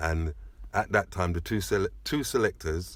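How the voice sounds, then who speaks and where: Speaking at a fairly slow pace, a man with a very deep, low pitch sounds somewhat breathy in a very clean recording with a silent background. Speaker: sound system DJ, selector. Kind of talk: interview, reminiscing.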